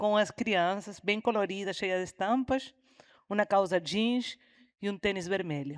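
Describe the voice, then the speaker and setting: Speaking at a fairly slow pace with a Uruguayan accent, a woman keeps a medium pitch and ordinary pitch variation on a very clean recording, with a silent background and a dry, close sound with no echo. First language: Spanish (speaking Portuguese). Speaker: environmental educator and teacher. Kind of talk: panel discussion.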